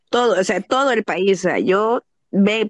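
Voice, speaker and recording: A woman has a normal speaking voice, fairly high in pitch with ordinary pitch variation. The sound is dry and close with no echo over a quiet background. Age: 30s. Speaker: adult content creator. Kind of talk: casual chat.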